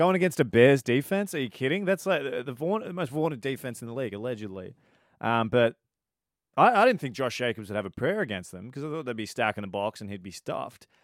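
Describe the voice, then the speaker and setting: Speaking at a very fast pace in an Australian accent, this voice swings very widely in pitch and heavily in loudness. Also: man, medium pitch for a man. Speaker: podcast co-host. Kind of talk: casual sports chat.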